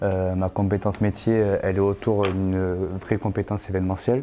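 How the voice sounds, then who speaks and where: A dark, mellow tone at a moderate pace. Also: man. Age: 20s. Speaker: sports stadium manager. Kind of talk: interview. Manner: hesitant, many filler sounds.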